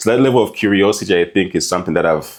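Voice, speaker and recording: A man talking at a very fast pace. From Zambia, Lusaka. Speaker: marketing and strategy executive. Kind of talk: podcast interview.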